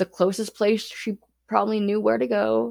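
A woman speaks at a fairly slow pace in a dry, close sound with no echo. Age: 30s. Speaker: murder victim's daughter. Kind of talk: interview testimony. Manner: casual with fillers.

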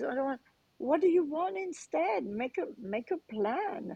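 A very slow, dark and mellow voice with a French accent, in a dry, close sound with no echo. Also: woman. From France, Cannes. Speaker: transformation coach and author. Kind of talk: interview.

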